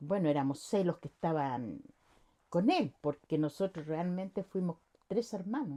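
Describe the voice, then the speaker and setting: With a dry, close sound and no echo, a woman speaks at a fairly low pitch and a fairly slow pace, her intonation lively. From Chile, Santiago. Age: 60s. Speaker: interviewee, worker's wife. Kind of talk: interview.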